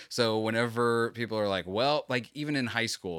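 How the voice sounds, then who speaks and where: On a very clean recording with a silent background, a man with an American accent and an unremarkable speaking voice talks at a moderate pace in a fairly low pitch. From Florida. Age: 30s. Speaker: podcast host. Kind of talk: casual chat, podcast interview.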